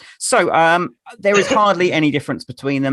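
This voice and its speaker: A man speaks with an English accent in a bright, sharp tone. The sound is dry and close, with no echo. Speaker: quiz host. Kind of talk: casual chat. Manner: halting.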